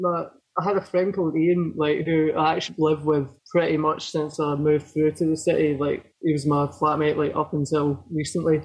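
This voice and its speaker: Talking at a fairly quick pace, a man with fairly high pitch keeps a monotone, flat intonation. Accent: central Lowlands Scottish. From Scotland, Falkirk area. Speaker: hardcore band guitarist. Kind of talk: casual interview chat.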